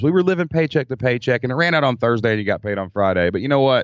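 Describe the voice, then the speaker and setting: Speaking with a Kentucky accent, a man uses lively intonation at a medium pitch. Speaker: former teacher turned online entrepreneur. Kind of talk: casual interview chat.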